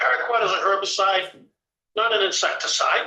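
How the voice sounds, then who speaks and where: A man's voice, high-pitched, carries a bright, sharp tone. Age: 70s. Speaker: vegetable farmer. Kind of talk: committee testimony.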